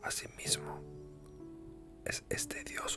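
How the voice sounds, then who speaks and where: A man whispering at a very slow pace, with music in the background. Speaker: ASMR creator. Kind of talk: whispered reading for sleep. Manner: whispered, soft, slow.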